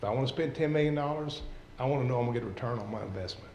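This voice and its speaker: Room echo can be heard in this recording. The man's pitch is medium. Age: 60s. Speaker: local investor speaking at a city council meeting. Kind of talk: public comment. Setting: city council meeting.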